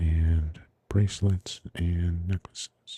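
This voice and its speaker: Soft-spoken and somewhat breathy, a man talks in a dark, mellow tone with monotone, flat intonation, the sound dry and close with no echo. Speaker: ASMR livestream crafter. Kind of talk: casual livestream chat. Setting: livestream.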